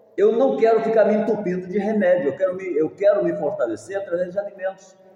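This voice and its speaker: A man's high-pitched voice with audible room echo. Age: 70s. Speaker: pastor. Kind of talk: sermon.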